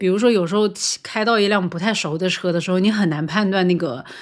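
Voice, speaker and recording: The recording is very clean, and the background is silent. A woman's fairly quick delivery carries ordinary pitch variation. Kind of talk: casual podcast conversation. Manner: fast, natural.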